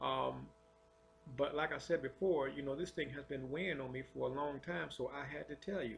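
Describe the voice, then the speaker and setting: This man has a fairly high, somewhat breathy voice and keeps a moderate pace. The rise and fall of his pitch is ordinary. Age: 50s. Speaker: religious testimony vlogger. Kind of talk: testimony. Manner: halting, many fillers and repetitions.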